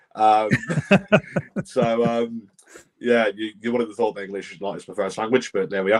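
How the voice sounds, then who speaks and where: A man with a British accent talks at a moderate pace and medium pitch, in a monotone, flat intonation. His loudness swings widely, with long, frequent pauses. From Britain. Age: 20s. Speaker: podcast host and wrestling referee. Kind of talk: casual podcast chat, reading viewer comments. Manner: hesitant, many fillers.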